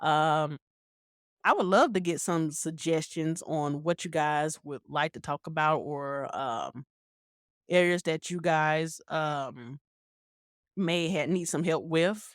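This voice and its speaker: Very slowly and with fairly even intonation, a woman with an American accent speaks in a very deep, low voice, the sound dry and close with no echo on a very clean recording with a silent background. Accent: country twang. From US South, Carolina. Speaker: podcast host. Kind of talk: casual monologue podcast. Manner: conversational, hesitant with fillers.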